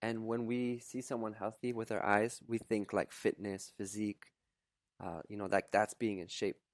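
A man with a Canadian accent and a plain, everyday voice speaks at a moderate pace with fairly even intonation, dry, close sound with no echo, on a very clean recording with a silent background. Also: fairly low pitch for a man. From Canada. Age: 30s. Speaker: content creator and coach. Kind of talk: casual interview conversation.

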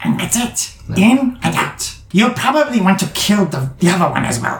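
A put-on character voice at a middle pitch moves at a moderate pace with a slight echo. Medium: actual play. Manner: clipped, broken phrasing.

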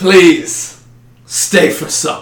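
In a put-on character voice, a man sounds gravelly and menacing at a high pitch. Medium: actual play.

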